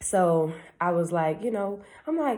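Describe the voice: Speaking at a fairly slow pace, a woman with a fairly low pitch and a slightly mellow tone uses lively intonation.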